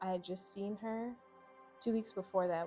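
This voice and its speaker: With music playing behind her, a woman speaks in an American accent with ordinary pitch variation. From Raleigh, North Carolina. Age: 20s. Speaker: physical therapist. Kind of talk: interview answer.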